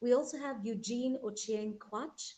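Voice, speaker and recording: A woman speaks in a dark, mellow tone that is somewhat breathy. Her pitch varies in an ordinary way. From Kenya. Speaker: talk show host. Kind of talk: panel show introduction. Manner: formal.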